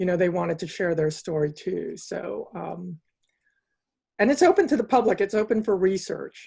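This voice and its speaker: A woman with an American accent speaks at medium pitch in a dark, mellow, somewhat breathy tone. Her pace is moderate and her pitch variation ordinary. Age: 60s. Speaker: interview host. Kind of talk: interview. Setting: video call.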